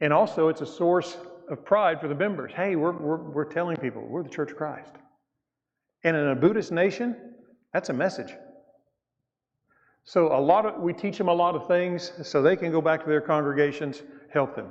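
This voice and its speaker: A man with a Southern US accent talks at a moderate pace in a fairly high pitch, with ordinary pitch variation and long, frequent pauses. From US South. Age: 60s. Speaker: missionary speaker. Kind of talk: church mission presentation. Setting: church. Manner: casual, halting.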